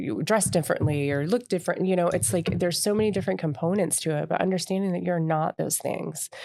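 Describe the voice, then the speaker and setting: Speaking with an American accent, a woman has a dark, mellow tone and a fairly quick pace. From US South (Tallahassee, Florida). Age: 30s. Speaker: podcast host. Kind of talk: personal monologue. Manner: unscripted, rambling with fillers.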